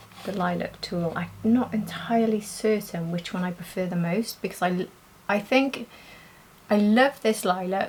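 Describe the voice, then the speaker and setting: A woman's somewhat breathy, medium-pitched voice with a British accent. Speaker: beauty youtuber. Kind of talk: makeup tutorial and review. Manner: soft-spoken, talking quietly.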